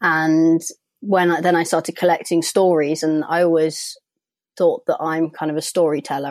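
A woman's fairly low voice in a London accent at a moderate pace, on a very clean recording with a silent background. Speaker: author and graphic design graduate. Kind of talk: interview.

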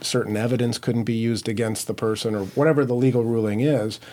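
Here a man with an American accent has an ordinary speaking voice. He speaks at a medium pitch with fairly even intonation. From Minnesota (Minneapolis). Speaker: criminal defense attorney. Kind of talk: interview.

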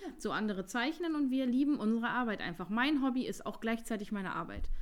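Talking at a fairly quick pace, a woman uses an ordinary speaking voice with ordinary pitch variation. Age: 30s. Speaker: nail designer and beauty studio owner. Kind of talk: casual chat.

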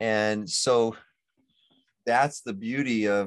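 Over a quiet background, a man with an unremarkable speaking voice talks at a medium pitch with ordinary pitch variation. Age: 60s. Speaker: physician. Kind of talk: casual chat.

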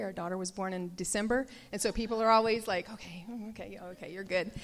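A woman with a Southern US accent talks at a very fast pace, her medium-pitched voice keeping fairly even intonation. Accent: Southern American. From US South, Nashville, Tennessee. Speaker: pastor's wife. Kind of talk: testimony. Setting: church.

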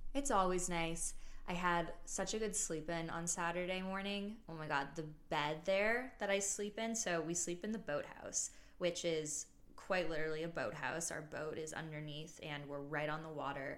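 With audible room echo, a woman speaks at a moderate pace and a fairly low pitch, using ordinary pitch variation. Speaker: podcast host. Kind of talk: casual solo chat.

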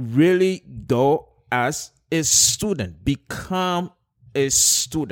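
A man's fairly high voice at a very slow pace. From Nigeria. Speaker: pastor and social entrepreneur. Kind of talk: casual interview chat. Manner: halting with repeated words.

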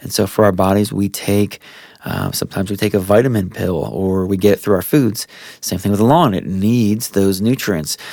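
A relaxed tone in an American accent at a moderate pace, with noticeable background noise. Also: man. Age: 30s. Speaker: lawn care professional. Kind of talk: casual tutorial monologue. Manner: relaxed with frequent fillers and repetitions.

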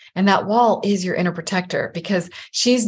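The voice is somewhat breathy, moving at a moderate pace with ordinary pitch variation against a quiet background. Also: woman. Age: 50s. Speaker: life coach. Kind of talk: casual interview chat.

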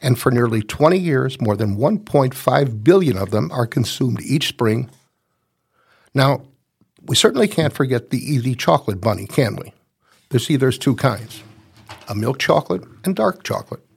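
A man with a medium pitch and a somewhat breathy voice speaks at a moderate pace with lively intonation and long, frequent pauses. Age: 70s. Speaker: podcast host, senior magazine columnist. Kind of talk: scripted narration.

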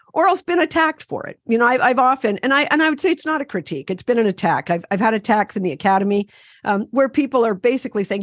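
Here a woman with a Canadian accent talks with very wide pitch swings. The sound is dry and close with no echo, over a quiet background. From Ontario, Canada. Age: 60s. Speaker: activist and therapist. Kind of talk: interview conversation. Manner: animated.

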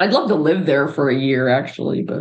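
A woman with an American accent speaks at a moderate pace, her pitch very deep and low with ordinary variation. Vocal fry runs through her voice. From Pittsburgh, US. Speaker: podcast host, architect. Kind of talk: casual chat; reading aloud.

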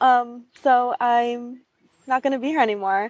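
A woman's high voice in a Western New York accent, with ordinary pitch variation and a fairly slow pace. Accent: American, Western New York. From Buffalo, New York. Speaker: brand designer. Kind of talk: interview. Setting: outdoors on a park bench.

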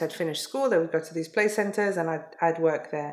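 A woman's fairly low-pitched voice with a London accent. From London, England. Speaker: educator. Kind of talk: interview.

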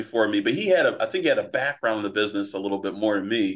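This man talks at a very fast pace in an American accent. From Philadelphia, US. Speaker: prop trading firm owner and trading coach. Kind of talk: interview, casual storytelling.

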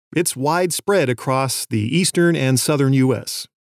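A man talks at a fairly slow pace with an American accent. The recording is very clean and the background silent. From US West Coast. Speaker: podcast host, birder and science educator. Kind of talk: scripted narration.

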